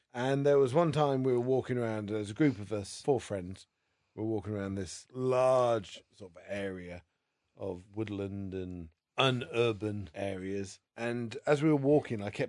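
A man with a normal speaking voice and fairly low pitch, at a moderate pace, with ordinary pitch variation and big swings in loudness. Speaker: guest storyteller. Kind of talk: casual chat.

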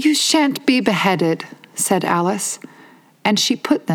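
The speaker is reading aloud in a natural voice and the intonation is lively.

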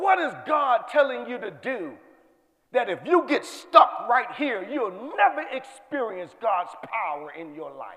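Using a raised, projected voice, a man with an extremely high pitch and very wide pitch swings speaks at a fairly slow pace. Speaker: preacher, retired Marine. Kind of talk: sermon. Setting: church with live audience. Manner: excitable, urgent, with rhythmic repetition.

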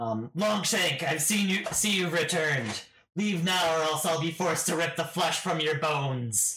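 Putting on a raspy character voice pitched high for a man, he talks at a moderate pace. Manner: threatening.

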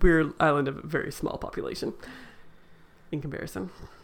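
Speaking at a very fast pace, a woman's voice carries vocal fry. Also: long, frequent pauses, big swings in loudness. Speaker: podcast host, librarian. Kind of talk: casual chat.

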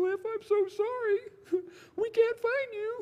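Pitched extremely high, a put-on character voice unfolds at a fairly slow pace. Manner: apologetic, worried.

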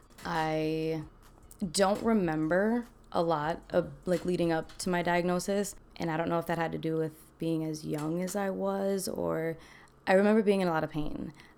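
A woman speaks in a normal speaking voice at a moderate pace. Her pitch is fairly low, with ordinary pitch variation. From Milwaukee, Wisconsin (Army family, moved around). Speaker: dancer living with lupus. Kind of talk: casual interview, personal testimony.

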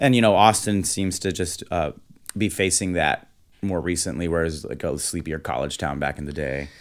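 In a very clean recording with a silent background, a man with a very deep, low pitch and vocal fry talks at a moderate pace. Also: ordinary pitch variation. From Texas, Houston. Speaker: musician. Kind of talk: casual chat.

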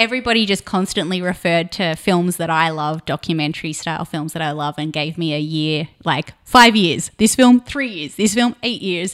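In a very clean recording with a silent background, a woman with an Australian accent speaks at a fairly low pitch with lively intonation and hardly any pauses. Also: moderate pace. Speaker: production designer. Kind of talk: casual interview.

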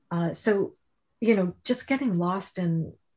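A somewhat breathy, dark, mellow voice at a fairly slow pace, with an American accent. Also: woman. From Connecticut. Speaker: novelist. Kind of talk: author interview.

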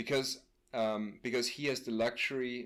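A man's medium-pitched voice with an Austrian accent and ordinary pitch variation. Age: 30s. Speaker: friend and co-discussant. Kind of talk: casual conversation. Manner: halting, searching for words.

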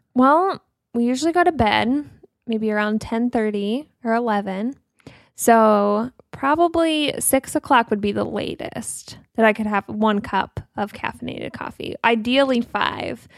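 A plain, everyday voice: a woman at a fairly high pitch, ordinary pitch variation, a fairly slow pace, a dry, close sound with no echo, and a very clean recording with a silent background. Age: 20s. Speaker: podcast co-host. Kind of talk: casual chat.

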